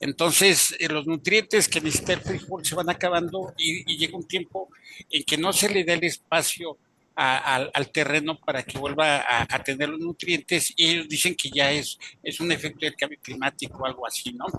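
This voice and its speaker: At a moderate pace, the voice sounds bright and sharp with ordinary pitch variation. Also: man, fairly high pitch for a man, dry, close sound with no echo. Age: 60s. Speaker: webinar participant. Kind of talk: audience comment in online webinar. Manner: halting, many fillers.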